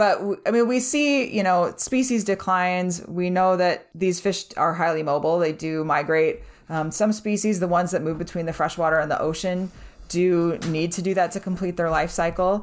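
Fairly low in pitch, this woman has an ordinary speaking voice. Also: ordinary pitch variation, moderate pace. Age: 40s. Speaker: fish biologist. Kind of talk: casual chat.

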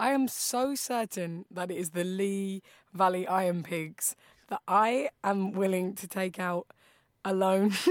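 A woman with a southern English accent speaks at a medium pitch and a fairly slow pace. Her pitch varies in an ordinary way, and the sound is dry and close with no echo. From southeast England, Bromley. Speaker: stand-up comedian. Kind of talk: quiz show banter. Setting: remote from London.

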